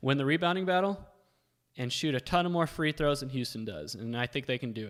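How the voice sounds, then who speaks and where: Delivered at a very fast pace with lively intonation, the speech sits on a very clean recording with a silent background. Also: man. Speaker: sports betting analyst. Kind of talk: live-streamed analysis. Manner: casual, filler-heavy.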